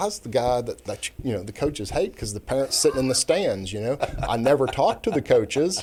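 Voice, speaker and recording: An American-accented man with a medium, somewhat breathy voice talks at a fairly quick pace, his pitch swinging very widely. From Kansas City, US Midwest. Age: 60s. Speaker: retired judge. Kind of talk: casual interview chat.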